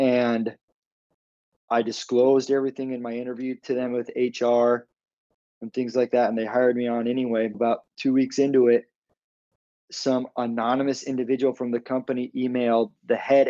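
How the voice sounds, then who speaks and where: This man's voice sits at a medium pitch, with a dark, mellow tone and an American accent. He talks at a moderate pace in a flat monotone with long, frequent pauses, and the sound is dry and close with no echo. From Arizona. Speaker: former lawyer, business coach. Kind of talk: interview testimony.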